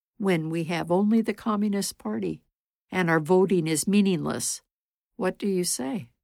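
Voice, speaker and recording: A woman speaks in an unremarkable speaking voice at a medium pitch and moderate pace, with ordinary pitch variation. The recording is very clean, with a silent background. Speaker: storyteller. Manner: measured, solemn storyteller's pace, earnest; shifts tone to voice characters in quoted dialogue.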